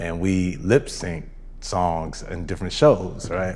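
A man with an American accent speaks in a very deep, low pitch with fairly even intonation. His moderate pace carries audible room echo. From Southern California (Rancho Cucamonga). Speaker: dancer and choreographer. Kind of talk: casual interview. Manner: halting, many fillers.

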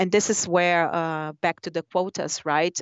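Speaking in a Portuguese accent, the woman proceeds at a fairly slow pace. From Brazil. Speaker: business executive. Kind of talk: interview. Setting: phone call. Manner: halting.

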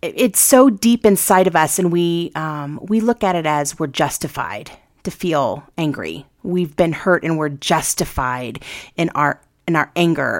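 A woman with an ordinary speaking voice talks at a fairly slow pace in a fairly low pitch with lively intonation, in a very clean recording with a silent background. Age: 40s. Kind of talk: casual chat.

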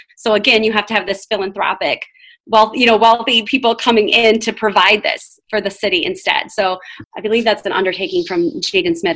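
A woman talks at a very fast pace with a Michigan accent. Her pitch sits in the medium range. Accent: Midwestern American (Michigan). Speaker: education professor. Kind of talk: podcast interview. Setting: at home, remote recording.

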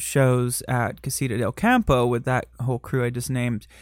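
A man with a Michigan accent, in a very clean recording with a silent background. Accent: Michigan, general American. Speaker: drag performer and podcast host. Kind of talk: casual interview chat.

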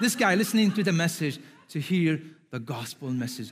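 The recording is very clean, with a silent background. A man speaks with very wide pitch swings. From Syria. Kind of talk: sermon.

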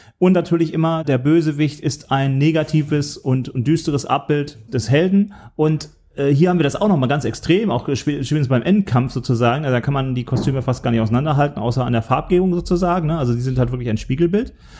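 The man's voice has a dark, mellow tone. He talks at a very fast pace. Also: fairly high pitch for a man, ordinary pitch variation. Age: middle-aged. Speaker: film podcast host. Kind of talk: casual chat.

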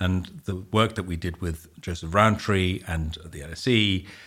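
The recording is very clean, with a silent background. A man speaks with a very deep, low, somewhat breathy voice. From Netherlands. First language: Dutch. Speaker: housing developer CEO. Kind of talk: podcast interview.

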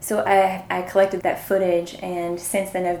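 A woman at medium pitch talks through audible room echo and noticeable background noise. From Eastern Kentucky. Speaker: sociology PhD student and documentary maker. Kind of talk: interview. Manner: hesitant, many fillers.

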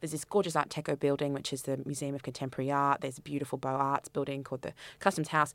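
This woman has an Australian accent. Her voice carries a bright, sharp tone. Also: very clean recording, silent background. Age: 30s. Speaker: festival director and curator. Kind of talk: interview.

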